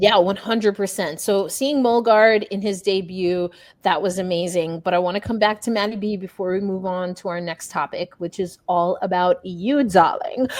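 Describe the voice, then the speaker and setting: An animated woman with an American accent and medium pitch talks at a moderate pace with ordinary pitch variation and hardly any pauses, on a very clean recording with a silent background. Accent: New York, comes out at times. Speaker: sports journalist and podcast host. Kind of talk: casual sports podcast chat.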